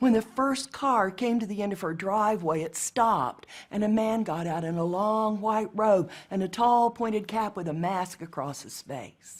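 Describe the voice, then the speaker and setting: A woman with a normal speaking voice speaks in an American accent at a moderate pace and medium pitch, with ordinary pitch variation, in a very clean recording with a silent background. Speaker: storyteller. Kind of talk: storytelling performance.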